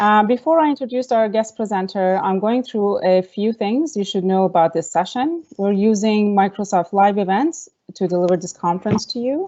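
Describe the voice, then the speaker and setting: Using an unremarkable speaking voice, a woman talks at a moderate pace and medium pitch with lively intonation and hardly any pauses. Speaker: conference host, staff member of the organisation. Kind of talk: online conference welcome and introduction.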